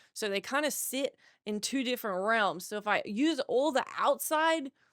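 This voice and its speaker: In an Australian accent, the speaker sounds animated, with lively intonation at a moderate pace, on a very clean recording with a silent background and a dry, close sound with no echo. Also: woman, high pitch for a woman. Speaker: podcast host. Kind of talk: casual solo podcast chat.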